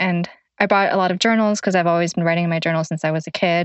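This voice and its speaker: Speaking with a Thai accent, a woman holds a medium pitch and fairly even intonation. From Thailand, Chiang Mai. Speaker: newspaper community editor. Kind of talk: casual personal conversation.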